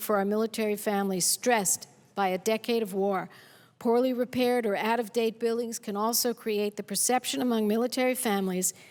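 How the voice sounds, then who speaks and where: An ordinary speaking voice from a woman, fairly high and fairly even in intonation, in a very clean recording with a silent background. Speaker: U.S. senator speaking on the Senate floor. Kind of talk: formal Senate floor speech.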